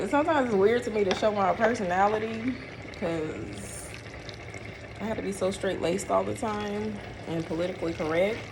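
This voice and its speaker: Amid audible room echo and noticeable background noise, a woman with an American accent talks at a fairly quick pace but leaves long, frequent pauses. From St. Louis, Missouri (US Midwest). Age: 30s. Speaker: vlogger. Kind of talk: casual vlog chat while cooking. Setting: kitchen.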